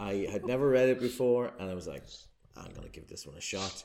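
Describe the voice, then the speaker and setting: Vocal fry at a fairly quick pace. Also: man. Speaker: guest host. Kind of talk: casual chat.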